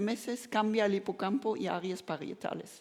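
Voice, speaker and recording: With a German accent, a woman speaks at a fairly slow pace. Her pitch is medium, with ordinary variation. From Germany. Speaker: neuroscience professor. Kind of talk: lecture. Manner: halting, with frequent self-corrections.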